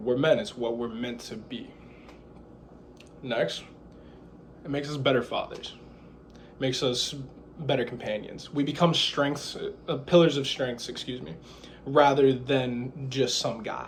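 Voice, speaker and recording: A somewhat breathy man with a medium pitch and ordinary pitch variation speaks at a fairly slow pace, with big swings in loudness and audible room echo. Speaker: student giving a class speech. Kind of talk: persuasive speech. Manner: halting, some stumbles.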